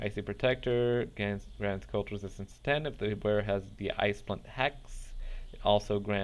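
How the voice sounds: The voice heard here is a natural reading voice.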